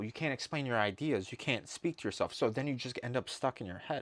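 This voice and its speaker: A man talks at a fairly quick pace. The recording is very clean with a silent background, and the sound is dry and close with no echo. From Cleveland, US (Albanian immigrant family). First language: Albanian. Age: 30s. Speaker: life coach / YouTuber. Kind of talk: casual monologue to camera. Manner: rambling, conversational.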